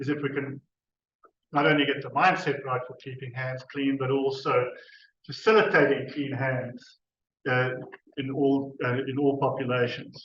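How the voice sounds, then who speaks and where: Audible room echo surrounds a man with a fairly high pitch. He keeps his intonation fairly even and leaves long, frequent pauses. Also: moderate pace, big swings in loudness. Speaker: university researcher. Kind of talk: conference presentation. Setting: conference stage with audience. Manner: hesitant, with fillers and restarts.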